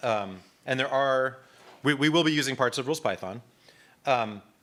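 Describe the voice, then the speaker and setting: A man's bright, sharp, medium-pitched voice with lively intonation, on a very clean recording against a silent background. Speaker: instructor. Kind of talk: lecture. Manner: fast.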